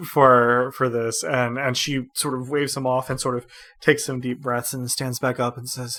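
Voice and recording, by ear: The speaker reads aloud in a natural voice.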